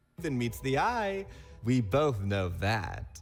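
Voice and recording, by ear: A man puts on a cartoonish character voice with vocal fry and big pitch swings. He goes at a slow pace over faint music in the background. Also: medium pitch for a man.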